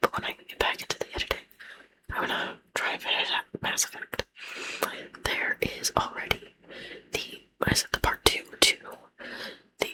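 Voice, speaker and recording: Someone whispers, leaving long pauses again and again. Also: moderate pace. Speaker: ASMR content creator. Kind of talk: whispered ASMR ramble to camera. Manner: whispered, soft.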